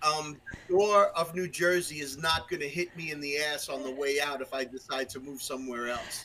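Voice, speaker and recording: Speaking with a Brooklyn accent at a moderate pace, a man barely pauses, keeping his intonation fairly even over noticeable background noise. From Brooklyn, New York. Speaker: musician and podcast guest. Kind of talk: casual chat. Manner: halting, many fillers and restarts.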